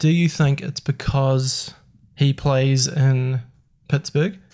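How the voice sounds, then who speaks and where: Somewhat breathy, a man speaks in a fairly high pitch with a dark, mellow tone. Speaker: podcast host. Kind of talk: casual chat.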